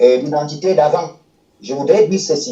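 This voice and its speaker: Speaking with ordinary pitch variation, a man has a dark, mellow tone. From Cameroon. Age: 60s. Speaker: retired footballer. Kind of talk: interview monologue. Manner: halting.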